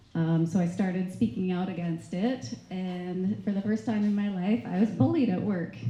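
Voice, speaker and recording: A soft-spoken woman with a Canadian accent talks at a moderate pace and medium pitch. Her tone is dark, mellow and somewhat breathy, with audible room echo. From Canada. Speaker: nurse. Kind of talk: testimony. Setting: stage with audience.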